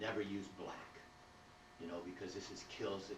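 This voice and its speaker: Delivered at a fairly quick pace in a monotone, flat intonation, the speech carries noticeable background noise and audible room echo. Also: man. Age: 60s. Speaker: painter giving a demonstration. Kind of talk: live painting demo. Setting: art gallery with small audience. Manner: casual, halting with fillers.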